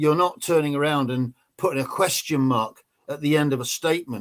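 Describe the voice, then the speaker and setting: A man with an English accent, his pitch fairly high and ordinary in variation, at a moderate pace. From England. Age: 60s. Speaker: ex-special forces soldier. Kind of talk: interview.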